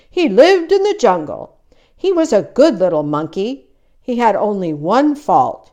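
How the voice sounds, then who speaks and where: Delivered at a moderate tempo, this put-on character voice swings very widely in pitch. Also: woman, high pitch for a woman. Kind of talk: movie narration. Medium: read story.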